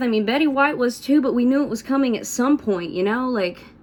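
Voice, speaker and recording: With an Appalachian accent, this voice moves at a fairly quick pace and has lively intonation. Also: woman. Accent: Southern US (Appalachian). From US South, north Georgia / Tennessee / North Carolina tri-state area. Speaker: country musician and vlogger. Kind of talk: casual vlog monologue. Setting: at home doing hair and makeup on camera. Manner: casual, filler-heavy.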